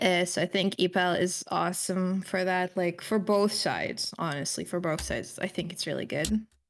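A woman with vocal fry talks with fairly even intonation and hardly any pauses, on a very clean recording with a silent background. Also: medium pitch for a woman, moderate pace. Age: 20s. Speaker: streamer sharing mental health struggles. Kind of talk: personal testimony in interview. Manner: hesitant, many fillers.

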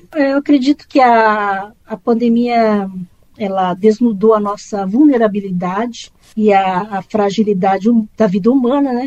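Her voice sits fairly high, with ordinary pitch variation. The woman keeps a fairly slow pace. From Brazil, Campinas (São Paulo interior). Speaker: tax auditor and former journalist. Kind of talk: interview. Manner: halting.

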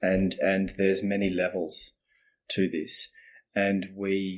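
Speaking very slowly in an Australian accent, a man is heard on a very clean recording with a silent background. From Australia, Melbourne. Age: 50s. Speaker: communication coach. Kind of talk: casual interview.

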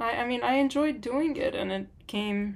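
A woman with an ordinary speaking voice, lively intonation and a moderate pace. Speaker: podcast co-host. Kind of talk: casual conversation.

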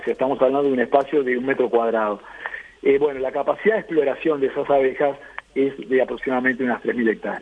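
A man with a fairly high pitch speaks against noticeable background noise. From Uruguay. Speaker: beekeeper and agronomist. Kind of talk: radio interview.

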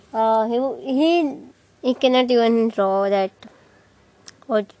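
A woman with an Indian accent talks at a fairly slow pace in a fairly high pitch, her dark, mellow tone carrying lively intonation, big swings in loudness, and long, frequent pauses. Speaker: vlogger. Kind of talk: casual storytelling. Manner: animated.

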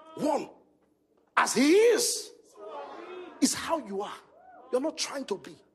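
Very slow and full of long, frequent pauses, a man with a Nigerian accent speaks at an extremely high pitch, with very wide pitch swings and big swings in loudness. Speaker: pastor. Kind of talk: sermon. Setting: stage with audience. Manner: animated.

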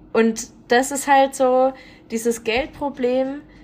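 A woman speaks over noticeable background noise. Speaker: podcast co-host. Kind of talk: casual chat.

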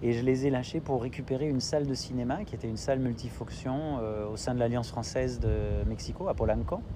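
Talking at a fairly quick pace, a man is heard with noticeable background noise and audible room echo. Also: hardly any pauses. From Italy (French family). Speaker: entrepreneur in film and culture. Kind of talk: interview.

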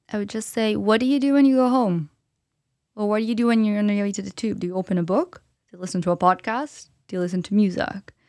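A woman's medium-pitched voice with a Portuguese accent, ordinary pitch variation and a very fast pace, in a very clean recording with a silent background. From Brazil, São Paulo. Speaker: entrepreneur and public speaker. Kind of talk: interview conversation.

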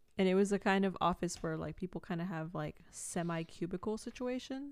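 A woman speaks at a moderate pace and a medium pitch in an ordinary speaking voice, on a very clean recording with a silent background. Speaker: podcast co-host. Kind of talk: casual chat.

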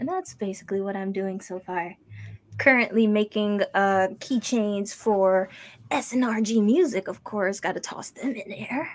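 This woman has an ordinary speaking voice at a medium pitch, talking at a fairly slow pace with ordinary pitch variation. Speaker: designer. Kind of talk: casual chat. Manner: laughs often.

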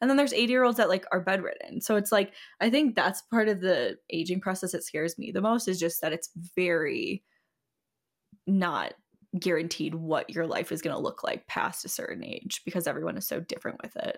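A woman talks at a fairly quick pace in an ordinary speaking voice of medium pitch, her intonation lively. The recording is very clean, with a silent background. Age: 20s. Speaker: podcast co-host. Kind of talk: casual chat.

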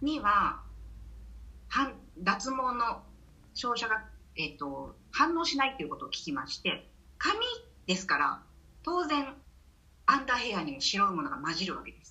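With a high pitch, a woman speaks in very wide pitch swings and big swings in loudness, leaving long, frequent pauses. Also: moderate pace. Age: 50s. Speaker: menopause course instructor. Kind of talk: casual interview.

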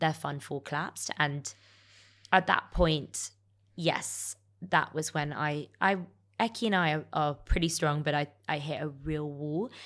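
The very clean recording, with a silent background, captures a woman in a London accent. Her pitch is very deep and low, with fairly even intonation. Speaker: entrepreneur. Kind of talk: interview.

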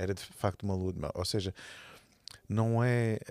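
A man with a European Portuguese accent, fairly low in pitch, at a fairly slow pace. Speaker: church leader. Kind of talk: casual chat.

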